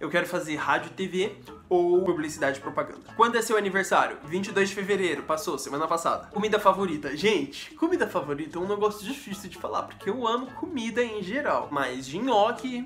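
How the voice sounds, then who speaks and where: A man speaks at a fairly quick pace in a high pitch, with an animated tone and lively intonation. He hardly pauses, and there is light background noise. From Brazil, São Paulo state (Mauá); São Paulo state, Brazil. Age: 20s. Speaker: youtuber and actor; youtuber, actor. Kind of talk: casual Q&A vlog. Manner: fast. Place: home room. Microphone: phone near.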